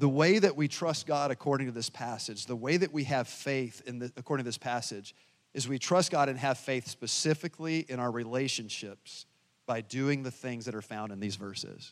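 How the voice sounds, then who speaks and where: In an unremarkable speaking voice, a man with an American accent talks at a moderate pace in a medium pitch with ordinary pitch variation, recorded very cleanly with a silent background. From US South. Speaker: pastor. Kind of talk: sermon.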